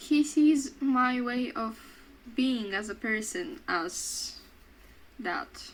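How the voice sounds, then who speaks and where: Her intonation is lively and her pitch high. The woman speaks very slowly, with long, frequent pauses. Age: 20s; student. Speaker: vlogger. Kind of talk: casual chat. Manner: loud; talkative, halting.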